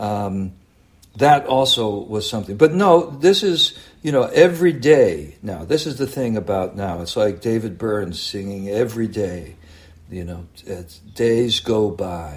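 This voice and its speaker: A man with an American accent speaks at a fairly slow pace, his voice somewhat breathy. His pitch swings very widely and his loudness rises and falls a lot. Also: fairly low pitch for a man. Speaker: slam poet. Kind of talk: casual chat. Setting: video call.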